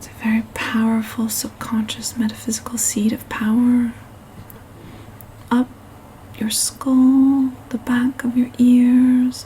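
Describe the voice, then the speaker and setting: A soft-spoken woman talks at a high pitch in a monotone with flat intonation, at a fairly slow pace with long, frequent pauses. Her loudness swings widely, and there is noticeable background noise. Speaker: meditation guide. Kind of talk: guided meditation. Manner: soft-spoken, slow.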